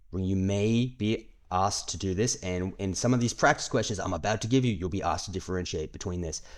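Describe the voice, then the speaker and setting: On a very clean recording with a silent background, a man with a fairly low pitch and a plain, everyday voice talks at a fairly quick pace with ordinary pitch variation. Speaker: IT certification course instructor. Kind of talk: tutorial. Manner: casual, with fillers.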